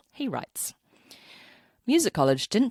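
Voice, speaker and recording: Speaking in a New Zealand accent, a woman shows vocal fry and very wide pitch swings. The recording is very clean with a silent background. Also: dry, close sound with no echo. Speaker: podcast host and cellist. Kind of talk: scripted podcast outro; reading listener story aloud.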